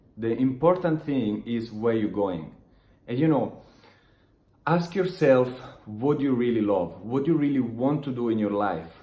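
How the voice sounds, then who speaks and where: A man with an Italian accent speaks at a fairly slow pace in a mid-range pitch, his tone dark and mellow. His intonation is lively, and the room echo is audible. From Italy. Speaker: online business motivational vlogger. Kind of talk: motivational talk to camera. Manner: halting, many restarts and fillers.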